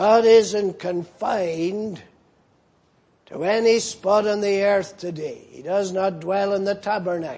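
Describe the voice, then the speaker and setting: A man talks at a very slow pace in a high pitch with fairly even intonation. His loudness swings widely, and the room echo is audible. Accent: Northern Irish. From Northern Ireland. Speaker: pastor. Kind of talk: sermon.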